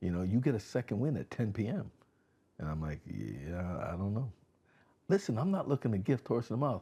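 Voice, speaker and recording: A man's fairly low, dark, mellow voice with an American accent, lively intonation, a fairly quick pace and long, frequent pauses, in a very clean recording with a silent background. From Connecticut, West Haven. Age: 60s. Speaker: community organization founder, former law enforcement. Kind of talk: casual interview chat. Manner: animated.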